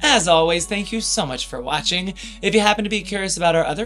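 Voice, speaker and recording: Speech races at a very fast pace over faint music in the background. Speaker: pin collector co-host. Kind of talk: casual vlog chat. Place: home room.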